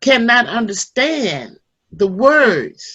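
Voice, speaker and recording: Her fairly high voice showing vocal fry, a woman speaks with very wide pitch swings. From Selma, Alabama, US. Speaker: civil rights activist and gospel singer. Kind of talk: talk to youth at online seminar. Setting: online call.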